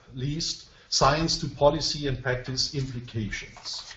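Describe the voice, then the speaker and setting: A man with a non-native accent at a fairly slow pace, with audible room echo and noticeable background noise. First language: not English. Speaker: professor presenting research. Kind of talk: webinar presentation. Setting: online web conference. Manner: slow, simple sentences; hesitant, many fillers.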